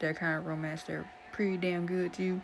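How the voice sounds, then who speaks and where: Talking at a fairly quick pace, a woman is heard with audible room echo. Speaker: webtoon reaction youtuber. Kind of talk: casual chat. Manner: rambling, halting with restarts; sometimes quiet.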